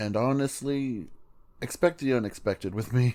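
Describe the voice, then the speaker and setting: On a very clean recording with a silent background, a man speaks at a moderate pace in a dark, mellow tone. His pitch is medium, with ordinary pitch variation. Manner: casual, chatty.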